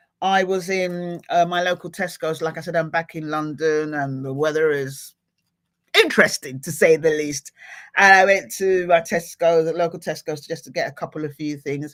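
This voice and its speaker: An ordinary speaking voice from a woman of fairly low pitch, at a moderate pace with fairly even intonation, in a very clean recording with a silent background. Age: middle-aged. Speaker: motivational speaker and livestream host. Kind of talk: live motivational talk to viewers. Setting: livestream. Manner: casual, chatty.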